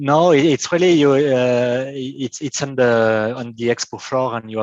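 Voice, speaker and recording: A man is speaking. He has a French accent. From France. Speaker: software engineer and company founder. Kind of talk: technical presentation. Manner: halting.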